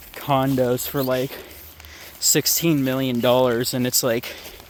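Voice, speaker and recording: The speaker has an American accent and talks at a fairly slow pace with fairly even intonation. There is noticeable background noise. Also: man. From Ohio, US Midwest. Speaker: vlogger. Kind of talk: casual vlog monologue. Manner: halting, self-interrupting.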